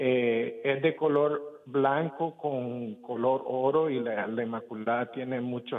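A man's medium-pitched voice with fairly even intonation and hardly any pauses. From Nicaragua. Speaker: caller. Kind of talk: phone call-in question.

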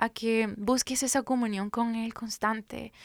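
On a very clean recording with a silent background, a woman speaks at a fairly high pitch in a monotone, flat intonation. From Guatemala, Guatemala City. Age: 30s. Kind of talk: faith testimony interview.

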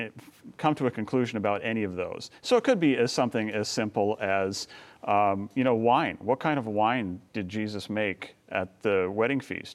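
This man has a normal speaking voice at a medium pitch, with ordinary pitch variation and a moderate pace, captured in a very clean recording against a silent background. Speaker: filmmaker and author. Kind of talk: interview.

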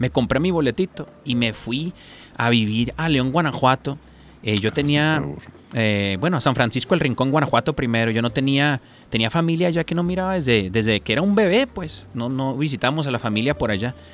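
Lively intonation marks this ordinary speaking voice, which moves at a moderate pace. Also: man, medium pitch for a man. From Tijuana–San Diego border. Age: 30s. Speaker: radio operator. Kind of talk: casual interview.

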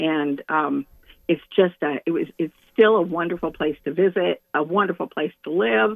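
Delivered at a moderate pace, an unremarkable speaking voice carries lively intonation. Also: woman, fairly low pitch for a woman. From central California. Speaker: caller. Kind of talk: call-in chat.

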